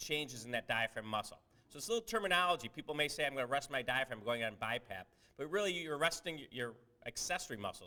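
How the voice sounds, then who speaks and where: Loud and very fast, a man with a fairly high pitch talks with lively intonation and a bright, sharp tone. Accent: American. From Cleveland, Ohio, US. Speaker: surgeon and researcher. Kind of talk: lecture.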